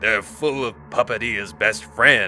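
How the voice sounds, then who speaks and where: A man's put-on character voice at medium pitch, fairly slow in pace, over clear background noise. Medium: read story. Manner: cryptic, menacing.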